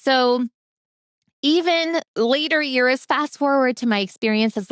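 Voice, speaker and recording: Heard on a very clean recording with a silent background and a dry, close sound with no echo, a normal speaking voice with an American accent moves at a moderate pace with lively intonation. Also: woman. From US, Polish immigrant family. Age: adult. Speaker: literacy coach. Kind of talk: personal testimony talk.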